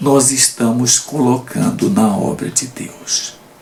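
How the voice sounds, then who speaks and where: A man speaks against noticeable background noise. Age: 70s. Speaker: Bible teacher. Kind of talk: Bible study lesson commentary.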